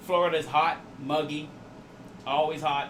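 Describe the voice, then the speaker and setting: A man keeps a moderate pace and fairly even intonation while audible room echo and noticeable background noise surround him. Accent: slight Jamaican. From Jamaica. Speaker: 3D printing streamer. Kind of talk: live stream chat. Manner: casual.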